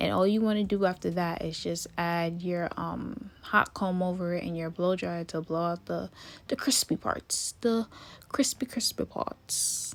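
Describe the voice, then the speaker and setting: The recording is very clean, with a silent background. On it, a woman talks at a fairly slow pace. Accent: Jamaican. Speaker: hair and wig tutorial creator. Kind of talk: tutorial. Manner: casual, chatty.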